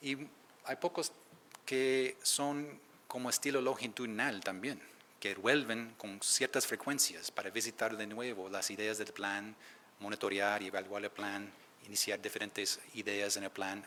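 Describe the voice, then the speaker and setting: Speaking with an English accent, a man with a fairly low pitch has a bright, sharp tone and ordinary pitch variation. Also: fairly slow pace. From United States. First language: English (speaking Spanish). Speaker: researcher, keynote speaker. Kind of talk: conference Q&A answer. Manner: halting, with self-corrections.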